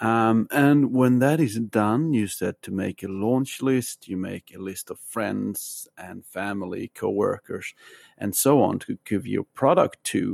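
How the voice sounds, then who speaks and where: Delivered with hardly any pauses, the speech has a dry, close sound with no echo. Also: man, medium pitch for a man, ordinary pitch variation, fairly slow pace, big swings in loudness. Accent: Swedish. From Sweden. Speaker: listener asking a question. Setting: recorded voice message.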